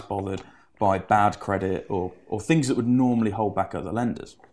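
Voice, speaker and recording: A man speaks at a fairly quick pace in a fairly low voice with an English accent. His pitch varies in an ordinary way, and the recording is very clean with a silent background. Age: 20s. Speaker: property finance broker. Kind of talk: interview.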